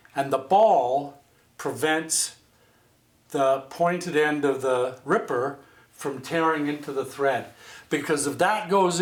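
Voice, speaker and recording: His voice is an unremarkable speaking voice, and his pace is fairly slow. This man's pitch is fairly high and shifts in an ordinary way. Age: 60s. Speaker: home sewist. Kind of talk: casual sewing tutorial talk to camera. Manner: folksy, chatty, rambling.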